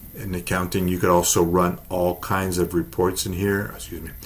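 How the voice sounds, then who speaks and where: A man speaks in a very deep, low voice that is somewhat breathy. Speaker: software sales representative. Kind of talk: software demo walkthrough.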